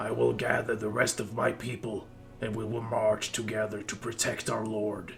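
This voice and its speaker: A raspy, rumbling put-on character voice moves at a moderate pace over clear background noise. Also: man, fairly low pitch for a man. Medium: read story. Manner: imperious.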